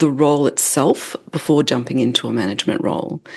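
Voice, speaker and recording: With an Australian accent, a woman speaks at a very deep, low pitch with ordinary pitch variation. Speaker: leadership development expert, author. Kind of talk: podcast interview.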